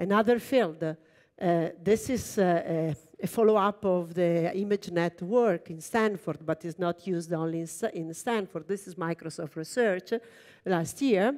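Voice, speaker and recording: A woman's fairly low voice in an Italian accent, at a fairly slow pace with ordinary pitch variation and a quiet background. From Italy. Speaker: computer engineer and research lab director; keynote speaker. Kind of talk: keynote talk. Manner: halting, many fillers. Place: stage.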